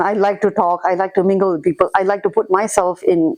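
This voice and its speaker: A woman talks with a Singaporean accent. Her pace is fairly quick. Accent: Singaporean English, light. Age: 40s. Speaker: immigrant interviewee. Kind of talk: casual interview chat. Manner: animated.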